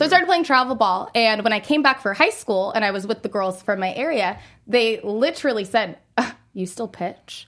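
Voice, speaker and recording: Speaking in a normal speaking voice, a woman talks at a moderate pace in a fairly high pitch with lively intonation, in a very clean recording with a silent background. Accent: American. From US, suburban. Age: 20s. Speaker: nonprofit executive director and former college softball pitcher. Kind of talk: casual interview.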